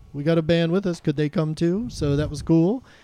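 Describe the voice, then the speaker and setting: Against a quiet background, a man speaks in an American accent with a dark, mellow tone. His pitch is fairly high, with ordinary variation. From Texas (Austin). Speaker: music show host. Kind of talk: casual interview. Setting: live show with audience.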